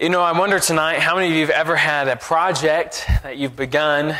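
A man at a fairly quick pace. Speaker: preacher. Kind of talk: sermon. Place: church. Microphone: lapel.

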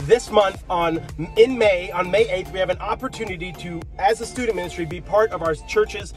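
With clear music playing behind him, a man talks at a moderate pace in a dry sound with no echo. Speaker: youth pastor. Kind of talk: casual vlog chat. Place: car. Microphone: phone near.

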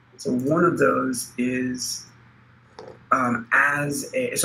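Background noise is noticeable throughout. The pitch moves in an ordinary way. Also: man. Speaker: project lead. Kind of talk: online team meeting. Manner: halting.

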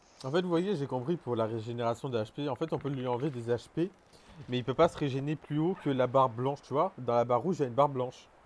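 Rattling along at a very fast pace, a man of medium pitch speaks with ordinary pitch variation. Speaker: gaming streamer. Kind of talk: live gaming stream chat. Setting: online voice chat while streaming. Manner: animated.

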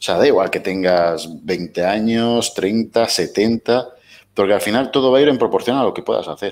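A man's fairly slow delivery with ordinary pitch variation and big swings in loudness. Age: 30s. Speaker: weight-loss interviewee; interview guest. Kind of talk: casual interview. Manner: halting. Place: home room. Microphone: headset.

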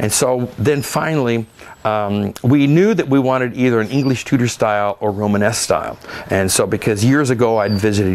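At a fairly quick pace, a man with an American accent speaks with ordinary pitch variation. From Oregon, US Pacific Northwest. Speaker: winemaker and winery owner. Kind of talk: oral history interview. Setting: at a winery with gardens. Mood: relaxed, reflective. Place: garden. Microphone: lapel.

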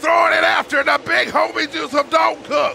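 A man shouting over noticeable background noise. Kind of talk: live race commentary.

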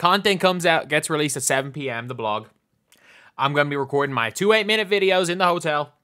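Speaking in an Irish accent, a man with a fairly high pitch talks at a fairly quick pace in a bright, sharp, animated tone. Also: very clean recording, silent background. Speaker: gaming YouTuber. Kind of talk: reaction video commentary.

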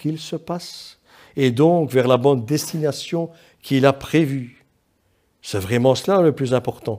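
A dark, mellow tone comes through at a very slow pace against a quiet background. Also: man. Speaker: preacher. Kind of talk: sermon. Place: church.

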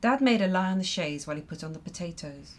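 A woman with a fairly low pitch and a somewhat breathy voice. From Ireland. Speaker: poet. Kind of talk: poetry performance. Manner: measured, expressive reading with dry, wry storytelling.

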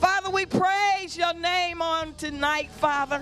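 Extremely high-pitched woman at a fairly slow pace, clear music in the background. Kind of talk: spoken prayer. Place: church. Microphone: handheld.

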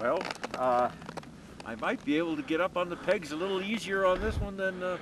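A high-pitched man at a fairly quick pace, lively intonation, noticeable background noise behind him. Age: 70s. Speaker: ski biker. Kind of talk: interview answer. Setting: outdoors. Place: open country. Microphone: camera far.

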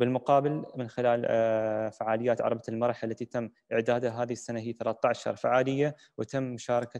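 The background is quiet as a man speaks at a moderate pace. His intonation is monotone and flat. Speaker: moderator. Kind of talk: moderated panel discussion. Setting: virtual session, video call. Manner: formal. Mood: calm, caring. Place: home room. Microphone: video call.

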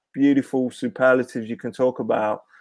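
In a quiet background, a man with an East Midlands accent speaks at a moderate pace. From Leicester, England. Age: 40s. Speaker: former professional footballer. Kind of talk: casual chat. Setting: video call. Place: home room. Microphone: earbuds.

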